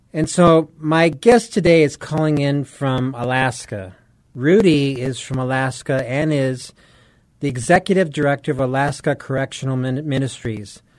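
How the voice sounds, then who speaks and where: A man with a fairly high pitch and an unremarkable speaking voice, ordinary pitch variation, a moderate pace and a quiet background. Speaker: radio host. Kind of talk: radio interview.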